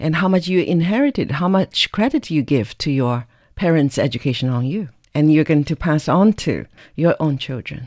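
A woman's very deep, low voice in a Chinese accent, moderate pace and lively intonation. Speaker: podcast interviewer. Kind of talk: interview.

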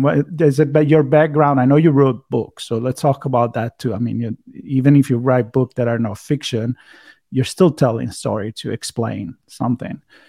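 In an Italian accent, this voice moves at a moderate pace with ordinary pitch variation, and the sound is dry and close with no echo. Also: man. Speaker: podcast host. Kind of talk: casual interview. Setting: video call. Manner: hesitant, many filler words.

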